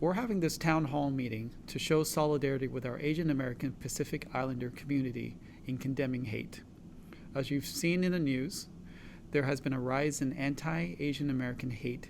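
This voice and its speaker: A man speaks at a fairly quick pace with a fairly high pitch. Audible echo from the room surrounds his voice. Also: ordinary pitch variation. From Los Angeles area, California (immigrated from China at 6). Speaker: physician, co-host. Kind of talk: town hall panel moderation.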